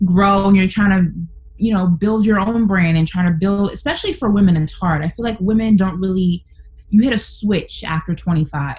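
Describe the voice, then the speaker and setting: At a fairly quick pace, a woman speaks in a New York accent. Her intonation is fairly even over noticeable background noise. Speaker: sports talk radio host. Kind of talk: casual chat.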